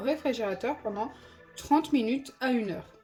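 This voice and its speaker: Music plays behind a woman whose high-pitched voice shows ordinary pitch variation. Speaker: slime-making YouTuber. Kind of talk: tutorial. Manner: casual, chatty.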